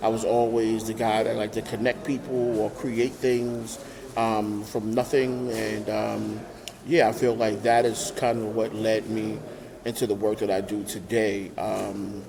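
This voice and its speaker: Against noticeable background noise, a man with a New York accent speaks at a fairly slow pace in a monotone, flat intonation. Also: medium pitch for a man. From Brooklyn, New York. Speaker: nonprofit founder. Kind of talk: interview. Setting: remote call. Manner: hesitant, many fillers.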